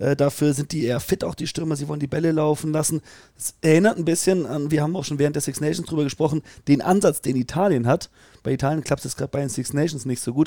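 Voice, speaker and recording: Talking at a very fast pace, a man with a fairly high pitch and a dark, mellow tone keeps his intonation fairly even, the sound dry and close with no echo. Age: young. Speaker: rugby podcast co-host. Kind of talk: casual chat.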